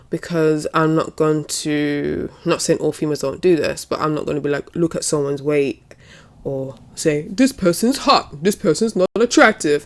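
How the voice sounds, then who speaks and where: A woman's very deep, low voice in a British accent, moderate in pace with ordinary pitch variation. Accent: UK. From UK. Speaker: wrestling commentator and YouTuber. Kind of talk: casual vlog commentary. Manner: hesitant, with fillers and restarts.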